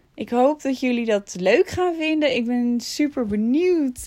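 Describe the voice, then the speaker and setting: Lively intonation marks a woman's fairly slow speech. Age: 30s. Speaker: vlogger and podcaster. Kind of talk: casual monologue.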